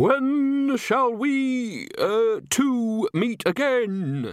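A man puts on a character voice. It is shrill and extremely high in pitch. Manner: shrieking.

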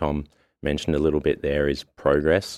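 This man has a very deep, low voice and speaks at a moderate pace. The sound is dry and close, with no echo. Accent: Australian. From Melbourne, Australia. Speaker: rowing coach.

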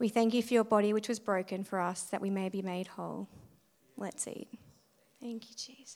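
Her medium-pitched voice stays monotone and flat, with big swings in loudness. The woman moves at a fairly quick pace but leaves long, frequent pauses. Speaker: communion speaker. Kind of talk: short communion message and prayer.

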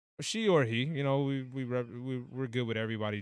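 A man with an American accent talks at a fairly quick pace and medium pitch, his intonation fairly even. He has an unremarkable speaking voice. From United States. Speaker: podcast co-host. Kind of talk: casual chat.

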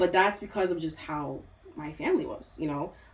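An American accent at a fairly quick pace with ordinary pitch variation, over noticeable background noise. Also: woman. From US, Nigerian-born. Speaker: mental health therapist. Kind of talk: casual chat.

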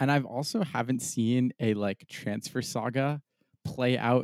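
Speaking at a fairly slow pace in a normal speaking voice, a man of medium pitch with an American accent shows ordinary pitch variation in a very clean recording with a silent background and a dry, close sound with no echo. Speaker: soccer podcast co-host. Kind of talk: casual sports chat.

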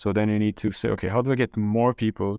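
A man speaks at a fairly quick pace with a Brazilian accent and a fairly low pitch. The sound is dry and close with no echo, and the background is quiet. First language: Portuguese. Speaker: corporate venture capital executive. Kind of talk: interview conversation.

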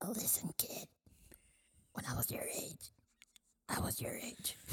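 A raspy, fairly high-pitched put-on character voice at a fairly slow pace. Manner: wise, lecturing.

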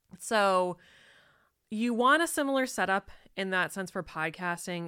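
The tone is bright and sharp, the pace fairly slow, and the recording very clean over a silent background. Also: woman. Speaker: entrepreneur and podcast host. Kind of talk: casual chat.

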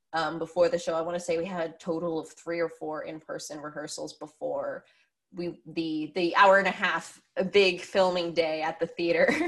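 A woman speaks with an American accent in a normal speaking voice, her pitch fairly low. She holds a moderate pace with fairly even intonation. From Pennsylvania. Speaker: theatre director and actress. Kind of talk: casual interview. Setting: video call.

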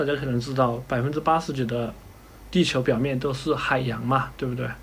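A somewhat breathy man talks at a moderate pace, with audible room echo. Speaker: ship designer. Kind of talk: casual interview.

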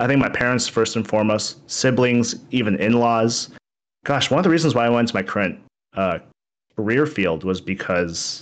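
In a normal speaking voice, someone talks at a moderate pace against a quiet background. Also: man. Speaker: streamer. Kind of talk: casual interview chat. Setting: online stream or video call. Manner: self-deprecating, relaxed.

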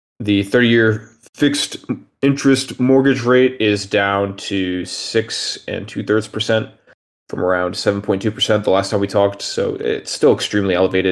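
An ordinary speaking voice at a fairly slow pace. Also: man. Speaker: macro analyst. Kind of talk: presentation of slides on macro.

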